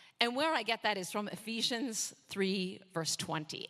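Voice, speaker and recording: Her voice is raised and projected. A woman's pitch swings across a very wide range. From Canada. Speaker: missionary preacher. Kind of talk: sermon. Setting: church.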